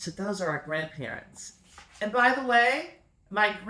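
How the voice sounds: Intonation stays lively in this natural reading voice.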